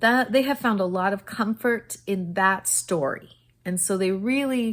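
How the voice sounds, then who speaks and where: A woman speaks at a very slow pace. Her voice sits at a medium pitch. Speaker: teacher and book reviewer. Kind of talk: casual book review vlog. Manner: stuttering, halting.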